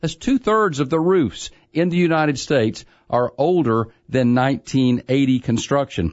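A man with a plain, everyday voice, fairly high in pitch, with lively intonation and a fairly slow pace. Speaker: contractor and radio home improvement expert. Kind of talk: call-in radio advice show.

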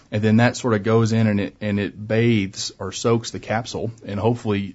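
This man's voice is medium in pitch and somewhat breathy. He speaks at a fairly quick pace. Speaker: orthopedic surgeon. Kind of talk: radio interview. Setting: studio.

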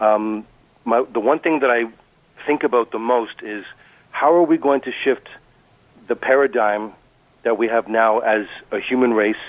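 A man speaks at a medium pitch and a moderate pace, with ordinary pitch variation. Long, frequent pauses break up his speech. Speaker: caller. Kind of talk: call-in radio discussion. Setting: phone call. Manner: halting.

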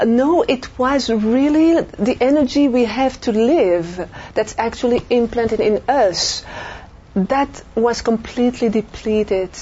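A woman with a French accent speaks at a high pitch and fairly slow pace, with ordinary pitch variation and very even loudness, against noticeable background noise. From Belgium. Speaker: near-death experiencer. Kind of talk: interview testimony. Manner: halting.

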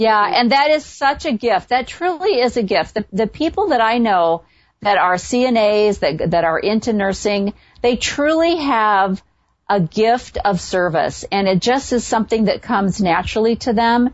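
A woman with an American accent and fairly high pitch speaks in an ordinary speaking voice at a fairly slow pace, her loudness very even. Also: lively intonation. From US Midwest, south of Chicago. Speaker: radio host. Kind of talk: casual interview; monologue intro.

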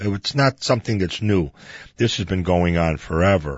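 A man speaking at a moderate pace. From Chicago. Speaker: radio host. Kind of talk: radio history talk show monologue. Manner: casual, with frequent fillers.

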